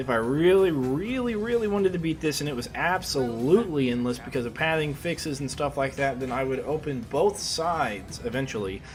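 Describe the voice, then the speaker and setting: Fairly high-pitched American-accented man with lively intonation at a fairly quick pace, hardly any pauses and noticeable background noise. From US Midwest, Kansas City area. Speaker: video game streamer. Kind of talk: gameplay commentary. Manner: fast; casual, hesitant with fillers.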